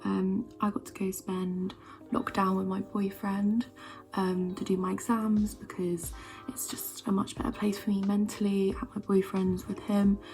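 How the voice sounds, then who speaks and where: A soft-spoken woman talks at a medium pitch and a moderate pace, with ordinary pitch variation. Music plays in the background. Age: 20s. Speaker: beauty vlogger / university student. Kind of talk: casual chat. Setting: at home, early morning.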